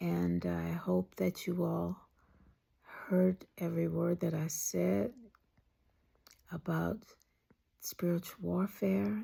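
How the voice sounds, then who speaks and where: Speech comes at a very slow pace, broken by long, frequent pauses. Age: 70s. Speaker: vlogger. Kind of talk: casual chat; blessing.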